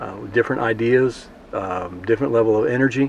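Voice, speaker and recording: Noticeable background noise sits behind a man with an American accent. He talks at a moderate pace with fairly even intonation. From South Texas. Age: 60s. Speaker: farmer. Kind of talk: interview.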